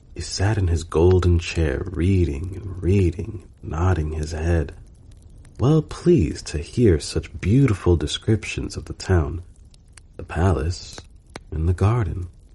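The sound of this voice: A man's low, dark, mellow voice with a husky, rough edge, a slow pace and lively intonation.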